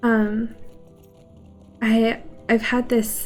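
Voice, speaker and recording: Soft-spoken, a woman talks with music in the background. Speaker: streamer. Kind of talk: casual livestream talk while gaming.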